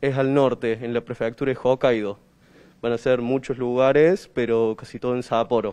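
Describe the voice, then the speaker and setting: A man talks at a moderate pace in a dark, mellow tone. His intonation stays fairly even. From Córdoba, Argentina. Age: young, 18. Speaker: karate instructor. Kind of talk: interview. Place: gym. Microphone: handheld.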